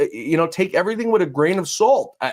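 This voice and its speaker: In a New York accent, a man speaks at a fairly quick pace. His high voice swings very widely in pitch. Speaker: podcast host. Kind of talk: interview. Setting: studio. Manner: blunt, fast-paced.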